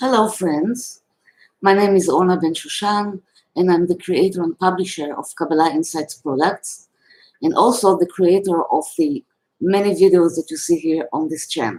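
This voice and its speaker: A woman with a non-native accent talks at a moderate pace. Her medium pitch carries lively intonation. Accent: foreign. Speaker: spiritual teacher. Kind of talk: reading aloud. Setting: live video. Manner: reading from a script.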